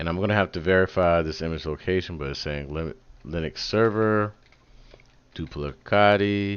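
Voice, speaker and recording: A man talks in a very deep, low pitch with an animated tone. His pace is moderate, with ordinary pitch variation. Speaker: tech livestreamer. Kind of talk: live coding tutorial. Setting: home livestream. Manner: casual, animated.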